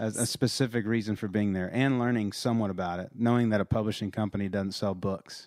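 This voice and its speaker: Talking at a very fast pace with hardly any pauses, a man keeps a fairly low pitch and fairly even intonation. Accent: Texas. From Texas. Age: 30s. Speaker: songwriter and country artist. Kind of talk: casual chat. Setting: home studio. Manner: halting.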